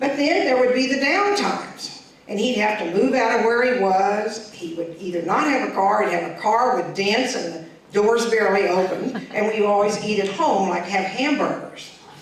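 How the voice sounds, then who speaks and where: A woman's fairly high voice at a moderate pace, with ordinary pitch variation, hardly any pauses and noticeable background noise. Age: 60s. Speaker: performer. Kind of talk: storytelling performance.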